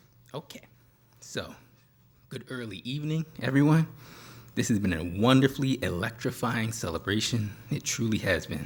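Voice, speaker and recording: A soft-spoken man with a medium pitch talks at a moderate pace, somewhat breathy. His intonation is lively, broken by long, frequent pauses. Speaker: professor. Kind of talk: closing speech. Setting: stage with audience.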